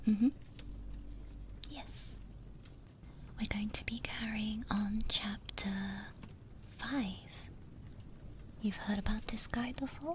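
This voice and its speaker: Over noticeable background noise, a soft-spoken woman talks at a very slow pace with a fairly high pitch and fairly even intonation. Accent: British. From Britain. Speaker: VTuber. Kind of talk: casual talk to listeners.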